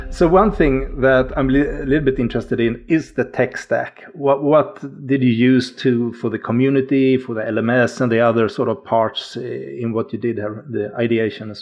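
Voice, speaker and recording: Over noticeable background noise, the speaker goes at a moderate pace with hardly any pauses and ordinary pitch variation. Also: man, medium pitch for a man. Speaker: podcast co-host. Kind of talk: casual podcast conversation.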